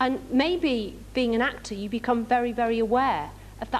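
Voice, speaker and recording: Her voice is fairly high, with ordinary pitch variation. The woman speaks at a moderate pace. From northern England. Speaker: actress. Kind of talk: fan convention Q&A.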